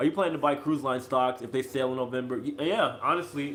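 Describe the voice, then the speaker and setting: Music plays in the background as a man with an American accent speaks at a very fast pace, medium pitch, and ordinary pitch variation. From US Midwest, Chicago. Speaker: cruise ship crew vlogger. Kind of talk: live-stream Q&A. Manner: casual, halting.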